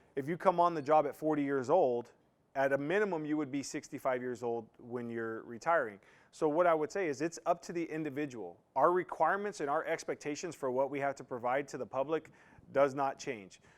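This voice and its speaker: This man has an unremarkable speaking voice, pitched fairly high, moving at a fairly quick pace with ordinary pitch variation. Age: 40s. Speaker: firefighter recruiter. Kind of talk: recruitment information session. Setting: online session.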